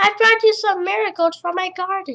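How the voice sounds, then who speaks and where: Putting on a squeaky character voice, a man speaks at an extremely high pitch and a moderate pace. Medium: read story.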